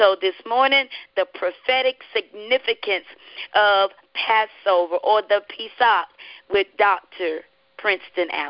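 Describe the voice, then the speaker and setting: A woman with a Southern US accent, medium-pitched, with ordinary pitch variation and a fairly slow pace. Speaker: radio host and evangelist. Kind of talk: radio devotional hosting. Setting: live radio broadcast.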